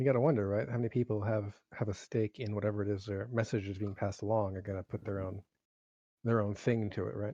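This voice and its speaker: Mumbling at a very fast pace, a man with a fairly low pitch and a dark, mellow tone keeps a fairly even intonation, with a dry, close sound with no echo and a quiet background. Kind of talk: casual chat.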